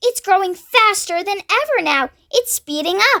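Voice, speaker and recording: Loud and squeaky, a woman does a put-on character voice at an extremely high pitch, the sound dry and close with no echo. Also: moderate pace. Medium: read story. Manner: sharp, snapping, loud.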